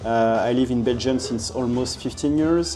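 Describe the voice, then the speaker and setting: A man with a French accent and ordinary pitch variation, music in the background and audible room echo. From France, Paris. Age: 40s. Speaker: street photographer. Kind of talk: casual interview. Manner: halting.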